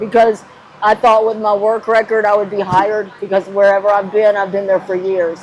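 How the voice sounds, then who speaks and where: Noticeable background noise sits behind a woman with an American accent who talks fairly quickly at a medium pitch, her intonation monotone and flat. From Gainesville, Florida. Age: 60s. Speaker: homeless woman living in her car. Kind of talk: interview answer.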